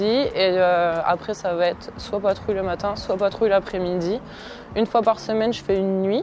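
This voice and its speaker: A woman at medium pitch, fairly slow, in a monotone, flat delivery, with noticeable background noise. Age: 20s. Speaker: gendarme. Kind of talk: interview testimony. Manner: hesitant, many fillers.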